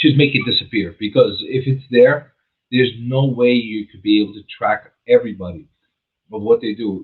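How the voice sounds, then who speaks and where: A man with a plain, everyday voice talks at a medium pitch and moderate pace, with ordinary pitch variation and big swings in loudness. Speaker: real estate agent and radio show host. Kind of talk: casual talk on a radio show.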